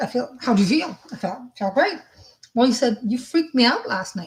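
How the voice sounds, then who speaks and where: A woman speaks at a high pitch. Her voice swings very widely in pitch. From French-speaking. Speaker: psychic medium. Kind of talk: live spiritual reading stream. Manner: fast; casual, halting.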